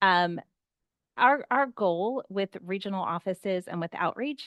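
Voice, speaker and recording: In a dry, close sound with no echo and a quiet background, a woman speaks at medium pitch with an American accent. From US East Coast. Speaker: patent office outreach speaker. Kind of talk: online workshop presentation. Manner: fast.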